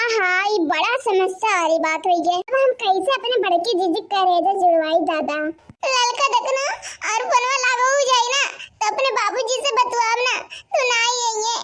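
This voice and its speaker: A woman does a cartoonish character voice at an extremely high pitch. Her intonation is lively and her pace moderate. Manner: soothing, chatty.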